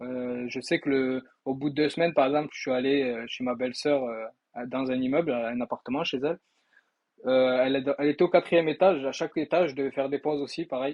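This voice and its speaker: A man speaks at a fairly quick pace with a fairly high pitch and a slight Toulouse accent. His intonation is fairly even. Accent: slight southern French (Toulouse). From southern France, Toulouse. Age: 20s. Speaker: sales trainee, former electrician. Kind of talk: testimony. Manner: casual, hesitant with many fillers.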